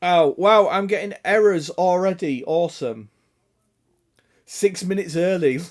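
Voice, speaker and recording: With an English accent, the speaker goes at a fairly slow pace, with long, frequent pauses and ordinary pitch variation. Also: man, high pitch for a man. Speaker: gaming live streamer. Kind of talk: casual chat. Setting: live stream.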